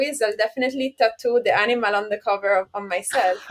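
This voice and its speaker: A woman talks at a fairly quick pace with an Italian accent. Her pitch is high and her intonation fairly even. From Italy. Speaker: software consultant and author. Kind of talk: podcast interview.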